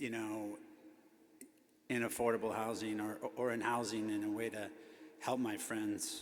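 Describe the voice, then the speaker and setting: With an American accent, a man talks at a moderate pace in a medium pitch and a monotone, flat intonation, with audible room echo and noticeable background noise. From Chicago, US Midwest. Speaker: affordable housing developer, honoree. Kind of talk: acceptance speech. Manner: hesitant, many fillers.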